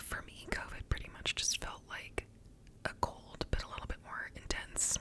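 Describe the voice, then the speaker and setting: A woman is whispering at a moderate pace. Noticeable background noise can be heard. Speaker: ASMR creator. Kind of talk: ASMR whispered ramble to camera. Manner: whispered.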